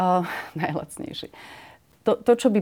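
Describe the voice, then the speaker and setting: In a normal speaking voice with ordinary pitch variation, a woman talks at a fairly quick pace. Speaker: member of parliament. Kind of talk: interview.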